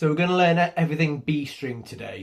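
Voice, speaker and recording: Somewhat breathy, a man's voice carries through. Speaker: guitar teacher. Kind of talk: tutorial. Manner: casual and conversational.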